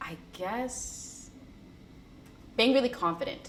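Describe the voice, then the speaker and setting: A woman speaks with an American accent at a fairly slow pace. Her intonation is lively, and room echo is audible. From US, small town. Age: 20s. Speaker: student. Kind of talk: interview. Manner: casual, with many fillers and repeats.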